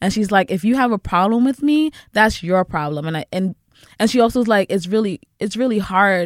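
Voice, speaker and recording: A woman with an American accent speaks at a fairly quick pace in an unremarkable speaking voice, medium in pitch with lively intonation. The sound is dry and close with no echo, on a very clean recording with a silent background. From the Bronx, New York. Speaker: producer. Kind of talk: casual chat.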